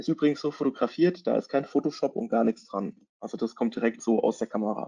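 This man has a dark, mellow tone, a fairly high pitch and lively intonation. He goes at a fairly quick pace with hardly any pauses, in a dry, close sound with no echo. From Germany, Hesse (Taunus). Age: 30s. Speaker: content marketing consultant and photographer. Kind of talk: webinar presentation. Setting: online webinar.

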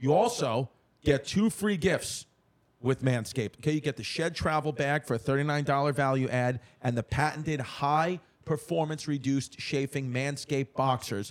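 A fairly high-pitched man with a New York accent, a moderate pace, ordinary pitch variation and very even loudness. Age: 30s. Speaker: comedian and podcast host. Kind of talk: casual chat.

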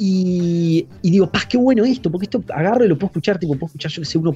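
Talking at a very fast pace, a man with a high voice and a dark, mellow tone uses ordinary pitch variation. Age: 30s. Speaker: podcaster. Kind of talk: casual chat.

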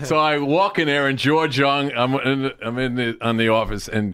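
Lively intonation at a moderate pace with a New Jersey accent. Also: man. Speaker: sports agent. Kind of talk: casual chat.

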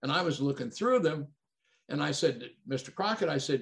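A man talks with vocal fry in a fairly high voice. His pitch swings very widely. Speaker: retired pro wrestler. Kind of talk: casual chat.

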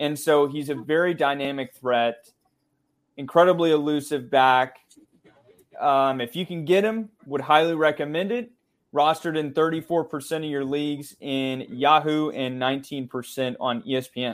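A plain, everyday voice from a man, fairly high in pitch, at a fairly slow pace with ordinary pitch variation. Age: 20s. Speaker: sports podcast co-host, fantasy football analyst. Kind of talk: casual chat.

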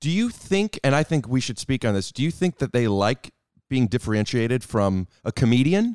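A man's normal speaking voice with an American accent, medium in pitch, with lively intonation at a moderate pace. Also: dry, close sound with no echo. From US Midwest, Cleveland. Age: 30s. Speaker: comedian. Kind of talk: casual chat. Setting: studio.

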